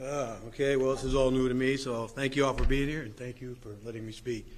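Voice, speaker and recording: There is audible room echo around a man's medium-pitched voice. He speaks in a monotone with flat intonation. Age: 60s. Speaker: guitarist, patient sharing treatment experience. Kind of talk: testimony at press conference. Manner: halting, repeats words.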